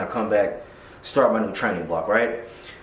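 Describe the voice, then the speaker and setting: Noticeable background noise and audible room echo around a man's fairly quick speech. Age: 30s. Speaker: powerlifter, coach and veteran vlogger. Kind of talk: casual vlog talk to camera. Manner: casual, profane.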